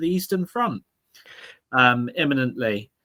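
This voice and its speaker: The speaker has an English accent. The recording is very clean with a silent background, and the sound is dry and close with no echo. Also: man. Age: 30s. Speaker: political commentator. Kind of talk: casual chat. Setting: livestream.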